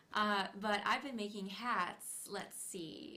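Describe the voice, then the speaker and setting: Soft-spoken and bright, sharp in tone, a woman at medium pitch talks at a very slow pace with audible room echo. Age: 30s. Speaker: felt artist and hat maker. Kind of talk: casual interview chat. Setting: studio livestream.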